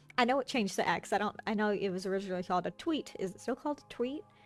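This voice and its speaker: A woman speaks with fairly high pitch. Music plays in the background. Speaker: streamer. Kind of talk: casual gaming stream chat. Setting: home desk streaming. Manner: halting, many fillers and restarts.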